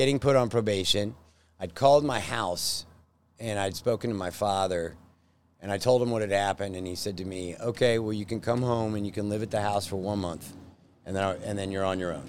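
A man speaks in an ordinary speaking voice. It sits fairly low, with ordinary pitch variation. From Texas, Plano. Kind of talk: casual interview chat. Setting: in his restaurant.

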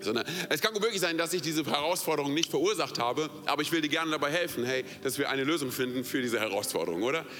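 A man with a fairly high pitch speaks very fast in an animated tone, with hardly any pauses and ordinary pitch variation. His loudness stays very even while music plays in the background. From outside Germany. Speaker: pastor. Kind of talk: sermon.

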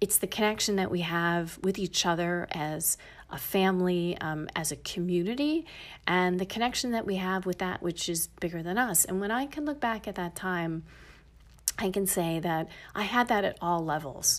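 A woman with an American accent speaks at a medium pitch and a moderate pace, with ordinary pitch variation and a plain, everyday voice. The recording is very clean, with a silent background. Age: 50s. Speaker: podcast host and breathwork teacher. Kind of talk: personal storytelling monologue.

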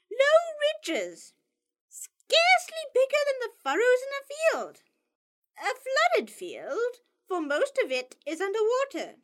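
A woman puts on a squeaky character voice. Her pitch is extremely high, her pace fairly slow. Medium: read story. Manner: brisk, tart.

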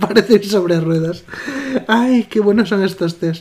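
Noticeable background noise sits under speech that has ordinary pitch variation and a moderate pace. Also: man. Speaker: podcast co-host. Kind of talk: casual chat.

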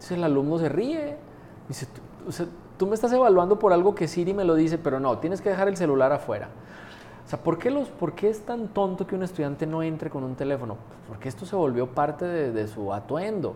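This man talks at a fairly quick pace in a high pitch, and his pitch swings very widely. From Colombia. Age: 40s. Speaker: university rector. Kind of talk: interview. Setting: university premises.

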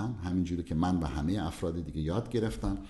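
A dark, mellow tone comes through somewhat breathy, with audible room echo. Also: man. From southern Iran. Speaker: cardiologist. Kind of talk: interview.

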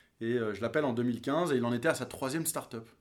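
A man's voice with ordinary pitch variation, at a fairly quick pace. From France, teen years in New York. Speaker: venture capital investor. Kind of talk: interview.

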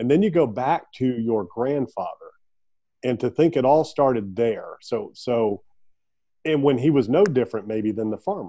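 The intonation is lively and the pace moderate. It is a normal speaking voice. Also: man, medium pitch for a man. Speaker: podcast host. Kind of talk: interview, friendly conversation. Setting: remote call.

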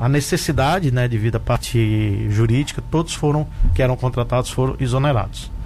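Noticeable background noise accompanies a man with a medium-pitched voice. He talks at a fairly quick pace with very even loudness. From Brazil, Rio Grande do Norte (Mossoró). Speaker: doctor and municipal health secretary. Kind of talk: radio interview. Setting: radio studio.

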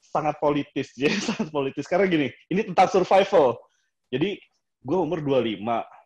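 This man's voice is fairly high, with lively intonation. He talks very fast. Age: 30s. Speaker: architect. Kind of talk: casual chat.

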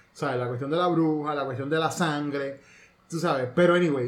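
Fairly quick, fairly high-pitched male speech over noticeable background noise. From Puerto Rico. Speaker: podcast host. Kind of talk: casual chat.

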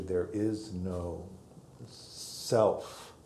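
A somewhat breathy male voice with a dark, mellow tone, fairly even intonation and audible room echo. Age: 60s. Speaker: meditation teacher. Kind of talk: dharma talk. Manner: halting.

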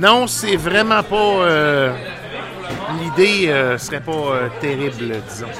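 With a Quebec accent, a man speaks at a very slow pace with very wide pitch swings and long, frequent pauses over crowd noise in the background. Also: fairly high pitch for a man. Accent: Québécois French. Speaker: radio host. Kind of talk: casual chat. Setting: studio. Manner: halting.

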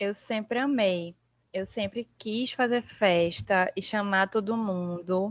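A woman's medium-pitched voice, very slow and fairly even in intonation, in a dry, close sound with no echo. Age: 20s. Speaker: podcast guest. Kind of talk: casual chat.

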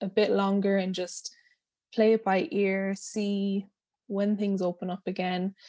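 In a western Irish accent, the voice has a dark, mellow tone and a monotone, flat intonation at a fairly slow pace, recorded very cleanly against a silent background. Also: woman, medium pitch for a woman. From west coast of Ireland, small town. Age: 20s. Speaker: pole dancer and body confidence teacher. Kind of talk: interview. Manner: soothing, relaxed.

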